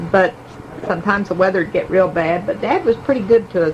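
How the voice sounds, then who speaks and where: A woman with a medium pitch talks at a moderate pace over noticeable background noise. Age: 80s+. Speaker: family elder sharing memories. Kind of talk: oral history reminiscence. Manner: halting, with fillers.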